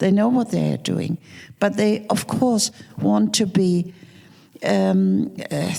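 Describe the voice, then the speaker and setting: The woman talks at a fairly slow pace. Noticeable background noise can be heard. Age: 70s. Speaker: film producer and screenwriter. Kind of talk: panel discussion. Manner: halting.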